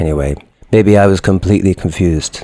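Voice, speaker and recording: A man speaks in a very deep, low pitch with a dark, mellow tone. His pace is moderate and his intonation fairly even. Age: 30s. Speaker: musician. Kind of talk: anecdote.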